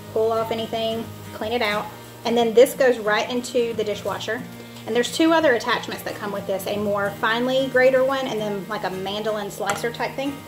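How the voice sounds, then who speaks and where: Over clear music in the background, a woman talks at a fairly quick pace with fairly even intonation. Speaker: home cooking vlogger. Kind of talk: casual tutorial. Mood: cheerful, relaxed. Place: kitchen. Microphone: camera far.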